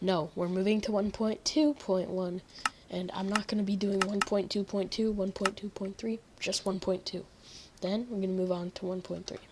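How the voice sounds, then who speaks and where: A woman with a medium-pitched voice speaks at a moderate pace with fairly even intonation over noticeable background noise. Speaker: gaming youtuber. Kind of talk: gameplay commentary. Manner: casual, rambling.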